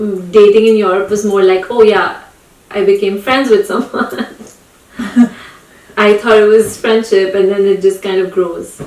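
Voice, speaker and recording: A woman talks at a medium pitch over noticeable background noise. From India. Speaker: podcast host. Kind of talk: casual chat.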